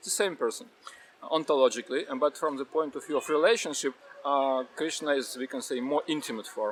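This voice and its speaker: A man with a Russian accent speaks fairly quickly in a fairly high pitch with ordinary pitch variation. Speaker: Hare Krishna devotee. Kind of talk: interview answer.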